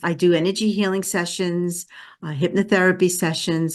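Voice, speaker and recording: Speaking in a Brooklyn accent, a woman keeps a moderate pace. Her intonation is fairly even, with a quiet background. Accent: New York (Brooklyn). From Brooklyn, New York. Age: 70s. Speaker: energy healer. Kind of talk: interview.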